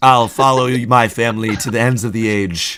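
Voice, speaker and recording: A man's put-on character voice at a medium pitch and moderate pace. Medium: actual play. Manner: earnest, heartfelt.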